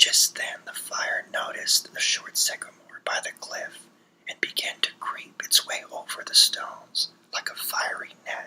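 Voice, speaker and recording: A man whispers at a very slow pace over noticeable background noise. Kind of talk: ASMR story reading. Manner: whispered.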